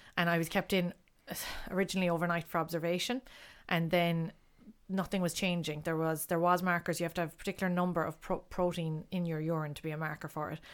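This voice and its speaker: A woman with a Kerry accent, fairly low in pitch, flat and monotone at a very fast pace, on a very clean recording with a silent background. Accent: Kerry Irish. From Ireland, Castlegregory, County Kerry. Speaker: artist and mother. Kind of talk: casual chat.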